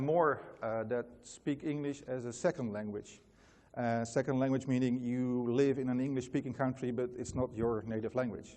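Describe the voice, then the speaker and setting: Intonation stays fairly even as a man speaks with a Dutch accent. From Netherlands. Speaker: company founder, conference speaker. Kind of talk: conference talk. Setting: stage with audience. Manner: many fillers and hesitations.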